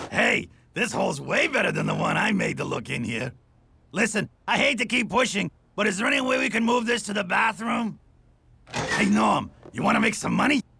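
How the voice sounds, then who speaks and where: Shouting in a cartoonish character voice, a man speaks at a fairly quick pace with a high pitch. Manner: deadpan, sardonic.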